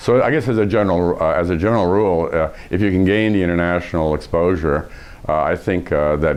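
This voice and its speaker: A very fast, very deep, low-pitched man with an American accent, ordinary pitch variation and very even loudness, over noticeable background noise. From USA, raised partly in Iran. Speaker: professor and leadership expert. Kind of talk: interview. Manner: hesitant, many fillers.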